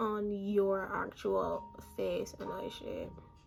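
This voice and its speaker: A woman's voice with noticeable background noise. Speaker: beauty YouTuber. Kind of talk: tutorial. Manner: monotone; casual, chatty.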